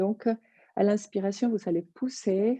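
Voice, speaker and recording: Her voice sits at a medium pitch and has a dark, mellow tone. The woman talks very slowly, and the sound is dry and close, with no echo. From Colombia. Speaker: yoga teacher. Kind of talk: yoga class instruction.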